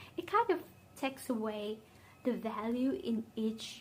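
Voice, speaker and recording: Speaking at a fairly slow pace, a woman with a Vietnamese accent uses a fairly high pitch. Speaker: beauty vlogger. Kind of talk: casual chat. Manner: conversational, with fillers.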